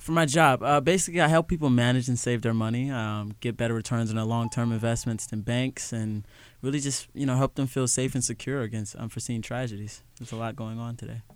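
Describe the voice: A man speaks at a fairly quick pace with a medium pitch. His tone is clear and smooth, and his intonation is fairly even.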